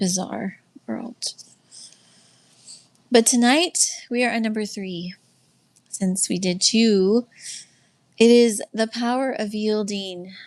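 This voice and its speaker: Speech comes at a very slow pace, broken by long, frequent pauses. Pitch variation is ordinary. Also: woman, fairly high pitch for a woman. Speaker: livestream host and faith-based life coach. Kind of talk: casual livestream teaching. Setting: live stream with chat.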